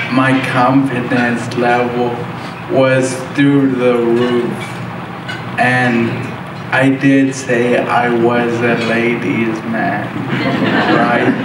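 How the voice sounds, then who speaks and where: A man speaks very slowly, with long, frequent pauses. Noticeable background noise and audible room echo fill the recording. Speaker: motivational speaker. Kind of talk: motivational speech. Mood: personal, humorous storytelling. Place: hall.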